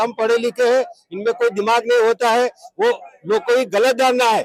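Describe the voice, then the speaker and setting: A man's extremely high-pitched voice, with fairly even intonation, has a dry, close sound with no echo. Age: 70s. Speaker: retired army subedar, protester. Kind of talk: protest interview.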